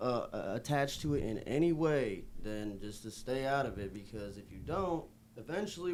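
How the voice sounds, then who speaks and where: With an American accent, a man at a medium pitch speaks at a moderate pace with a dark, mellow tone, lively intonation, big swings in loudness and hardly any pauses, in audible room echo. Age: 20s. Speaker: rapper. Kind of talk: casual chat.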